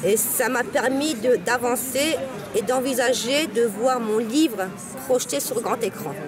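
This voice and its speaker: With crowd noise behind her, a woman speaks at a high pitch and fairly slow pace with ordinary pitch variation. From Morocco. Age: young. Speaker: author. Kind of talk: interview.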